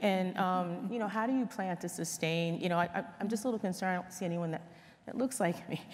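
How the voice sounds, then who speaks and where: In a normal speaking voice, a woman with an American accent talks at a fairly quick pace and a medium pitch. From New Jersey, US. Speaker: corporate leader, panelist. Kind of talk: panel discussion.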